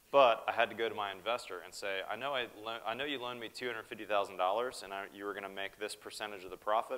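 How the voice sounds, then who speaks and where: Fairly low, bright, sharp male voice with an American accent, fairly even intonation and a fairly quick pace. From US Northeast. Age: 40s. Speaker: building contractor. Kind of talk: keynote speech. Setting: stage with audience. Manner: casual. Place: hall.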